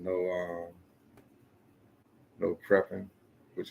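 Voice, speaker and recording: A soft-spoken man talks at a moderate pace. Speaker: podcast host. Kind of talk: casual chat.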